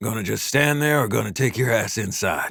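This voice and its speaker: In a raspy, put-on character voice, the speaker moves at a fairly quick pace with ordinary pitch variation. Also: man. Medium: read story. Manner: terse, gruff.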